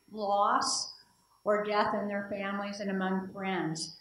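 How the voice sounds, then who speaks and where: A woman speaks with an American accent amid audible room echo. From Indiana. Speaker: political science professor; conference presenter. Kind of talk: conference talk. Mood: reflective, warm. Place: hall. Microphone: handheld.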